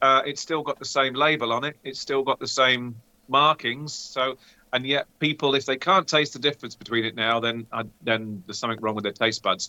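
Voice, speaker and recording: A man's normal speaking voice at medium pitch, fairly quick in pace, with ordinary pitch variation. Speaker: co-host, beer taster. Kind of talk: casual chat while tasting beer.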